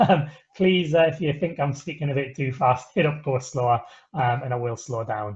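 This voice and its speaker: Here a man talks at a fairly high pitch. There is a somewhat breathy quality to his voice. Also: ordinary pitch variation. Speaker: webinar presenter for an ambulance service. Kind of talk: webinar closing remarks. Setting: video call. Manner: fast; hesitant, many filler sounds.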